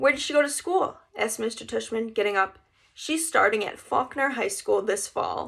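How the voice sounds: The text is read in a natural voice. Lively intonation runs through it.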